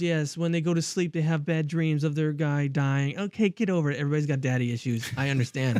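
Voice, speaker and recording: A man is speaking. His pace is very fast. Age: 40s. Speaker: podcast host. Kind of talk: casual chat. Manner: animated.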